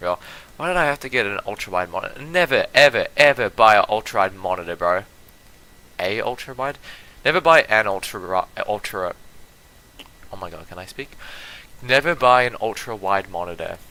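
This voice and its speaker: A man at a medium pitch speaks at a moderate pace, broken by long, frequent pauses. His pitch swings very widely, and his loudness rises and falls sharply. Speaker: gaming streamer. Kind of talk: live gameplay stream chat. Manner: stumbling, repeats words; animated, frustrated.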